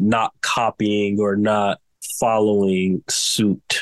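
The recording has a dry, close sound with no echo, carrying a man's fairly low-pitched voice. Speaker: fashion design student and brand founder. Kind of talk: interview.

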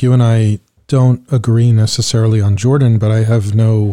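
With an American accent, a plain, everyday voice speaks with fairly even intonation. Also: man. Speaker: podcast host and former diplomat. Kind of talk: interview.

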